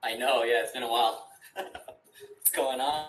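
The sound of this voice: The man's tone is fairly bright and his intonation fairly even. He speaks at a fairly slow pace. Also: medium pitch for a man.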